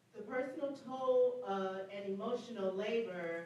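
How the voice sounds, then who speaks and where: A woman's fairly high voice with an American accent and ordinary pitch variation, amid audible room echo and noticeable background noise. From northwest Indiana, Gary. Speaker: healthcare worker and panelist. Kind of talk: panel discussion. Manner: loud.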